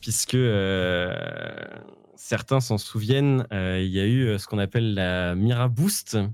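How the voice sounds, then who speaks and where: A man speaks very slowly in a Parisian accent, his pitch fairly low and its variation ordinary. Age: 20s. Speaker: esports player. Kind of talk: casual interview.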